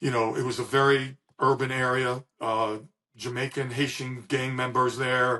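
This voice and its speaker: The delivery is monotone, with flat intonation and a moderate pace. The speaker has an American accent. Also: man, medium pitch for a man. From US East Coast, Washington DC. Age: 60s. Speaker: retired police officer. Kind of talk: podcast interview. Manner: halting, many fillers.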